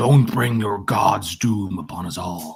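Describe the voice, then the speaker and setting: A man's put-on character voice, rumbling and fairly low, at a fairly slow pace. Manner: ominous.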